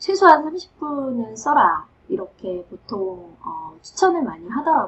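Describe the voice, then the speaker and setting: A woman speaks with very wide swings in pitch. Her voice is somewhat breathy. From South Korea. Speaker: professor. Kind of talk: advice talk.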